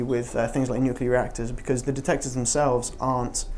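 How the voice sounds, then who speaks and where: A man's voice of medium pitch comes through with audible room echo and noticeable background noise. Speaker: physicist giving a public talk. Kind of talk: public science talk with Q&A. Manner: fast; halting, many fillers.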